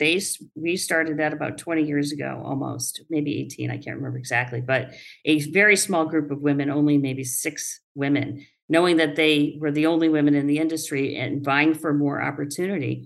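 With vocal fry and fairly even intonation, the speaker talks at a moderate pace amid audible room echo. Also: woman, very deep, low pitch for a woman. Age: 60s. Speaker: construction company owner. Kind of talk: interview.

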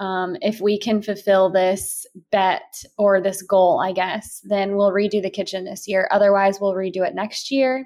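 On a very clean recording with a silent background, a woman of medium pitch speaks in a plain, everyday voice. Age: 20s. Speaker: lifestyle podcaster. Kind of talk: casual chat. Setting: at home.

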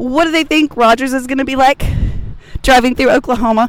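There is noticeable background noise. The pace is fairly quick. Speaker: fan vlogger interviewing fellow concertgoers. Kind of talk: casual chat.

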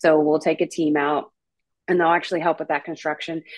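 Intonation stays fairly even in this voice with an American accent. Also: woman. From North Carolina, US South. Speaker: nonprofit outreach director. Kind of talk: interview. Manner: halting, many fillers.

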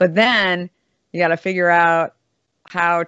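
With an American accent, a woman talks in a fairly low voice. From Arizona (Scottsdale). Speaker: beverage company founder and CEO. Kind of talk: casual interview.

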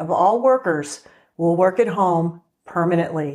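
A woman speaks at a fairly slow pace and a medium pitch, with ordinary pitch variation. Hers is a plain, everyday voice. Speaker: TV show host. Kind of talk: scripted intro and interview.

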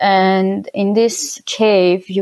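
The speaker has an Armenian accent and fairly even intonation. The background is quiet. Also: woman. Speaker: winemaker. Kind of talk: interview. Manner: halting.

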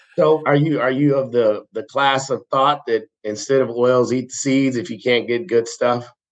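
A man with an unremarkable speaking voice, medium pitch, ordinary pitch variation, moderate pace, and hardly any pauses. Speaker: podcast host. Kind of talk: casual interview chat. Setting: phone call.

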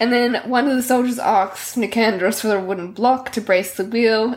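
A natural voice reading aloud

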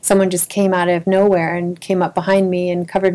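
Over noticeable background noise, a woman with a fairly low pitch speaks at a fairly quick pace. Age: 50s. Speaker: abuse survivor sharing experience. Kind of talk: interview testimony.

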